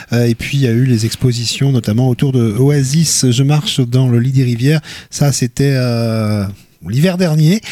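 An unremarkable speaking voice moves at a moderate pace. Its loudness stays very even, and its pitch variation is ordinary. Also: man. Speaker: radio host. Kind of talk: interview about culture and media picks. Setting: studio.

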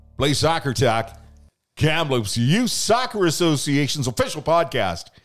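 Animated tone from a man with a fairly high pitch at a fairly slow pace, with music in the background. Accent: Canadian. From Canada, Lower Mainland BC. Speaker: youth soccer club podcast host. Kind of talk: casual chat. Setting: studio.

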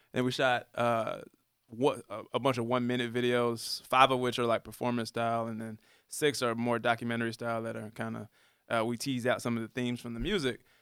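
In a very clean recording with a silent background, a man with an American accent talks at a fairly quick pace, his medium pitch in a monotone, flat intonation. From US South, Atlanta area. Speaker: rapper. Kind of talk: casual chat. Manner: halting.

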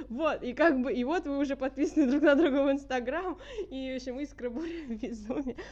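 A woman speaks at a high pitch. Her pace is fairly quick, with ordinary pitch variation. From St. Petersburg, Russia. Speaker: pianist, conservatory student. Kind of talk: casual chat.

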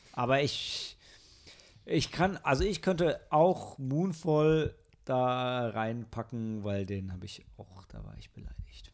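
The speech moves very slowly, with lively intonation and big swings in loudness. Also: man, medium pitch for a man. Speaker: podcast host, film reviewer. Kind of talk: casual chat. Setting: recorded together in one room.

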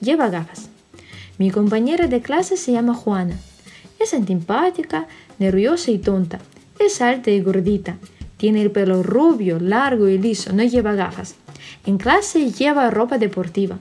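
A woman speaks at a fairly slow pace with long, frequent pauses. Her fairly high voice has lively intonation and very even loudness. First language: Russian (speaking Spanish). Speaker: Spanish teacher. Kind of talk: reading aloud.

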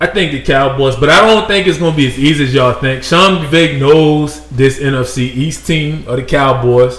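A man speaks in a fairly high voice with hardly any pauses. Background noise is noticeable. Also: ordinary pitch variation, moderate pace. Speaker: sports podcast co-host. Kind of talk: heated debate. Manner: loud, interrupting, talking over others; argumentative, insistent.

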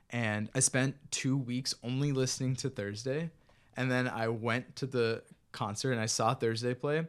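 A man with a plain, everyday voice and an American accent, medium in pitch, at a moderate pace with very even loudness against a quiet background. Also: fairly even intonation. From US, Maryland (Bethesda). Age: 20s. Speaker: musician. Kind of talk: casual interview.

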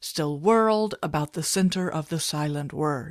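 A woman's ordinary speaking voice, fairly slow, with ordinary pitch variation. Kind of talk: poem reading. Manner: slow, solemn, meditative delivery.

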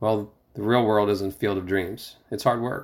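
A man's fairly low-pitched voice in monotone, flat intonation at a moderate pace, in a very clean recording with a silent background. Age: 50s. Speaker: franchise store owner presenting association podcast. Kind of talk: reading an article aloud with personal commentary. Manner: halting, with fillers.

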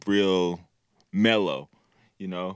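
The recording is very clean, with a silent background. The voice belongs to a man. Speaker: podcast host. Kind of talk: casual chat. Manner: animated.

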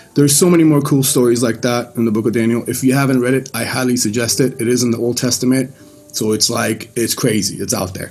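A man talks at a very fast pace in a medium pitch with fairly even intonation, over noticeable background noise. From Iran, Mashhad (moved away around age 10). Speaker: church member giving testimony. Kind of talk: testimony. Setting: video call.

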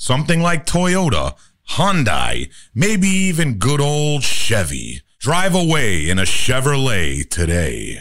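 Fairly slow put-on character voice from a man, pitched in the medium range. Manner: salesy, upbeat.

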